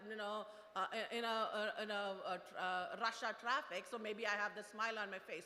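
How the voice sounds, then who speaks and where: A woman's voice over noticeable background noise. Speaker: product manager, invited speaker. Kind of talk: motivational talk. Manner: fast; halting, many fillers.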